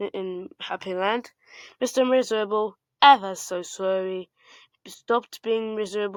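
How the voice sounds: Ordinary pitch movement in a natural reading voice, the background quiet.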